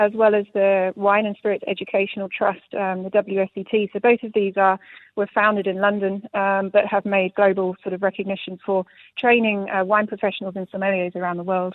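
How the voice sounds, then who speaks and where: A woman speaks with a British accent at a fairly quick pace. Her intonation is monotone and flat. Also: medium pitch for a woman. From UK. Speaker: sommelier. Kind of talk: radio interview. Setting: live radio.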